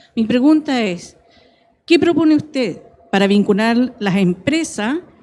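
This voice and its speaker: A woman's high pitch in a dark, mellow tone, at a fairly slow pace with lively intonation. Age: 60s. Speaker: entrepreneur, audience member. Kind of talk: audience question. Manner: quiet.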